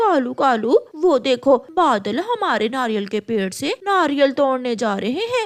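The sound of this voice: A woman puts on a high, cartoonish character voice. She goes at a fairly slow pace with hardly any pauses.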